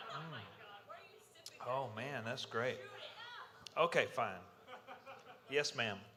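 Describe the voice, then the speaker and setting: A man at a very slow pace, with long, frequent pauses and audible room echo. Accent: Southern US. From US South, Mississippi. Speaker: security conference speaker, electrical engineer. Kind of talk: conference talk intro.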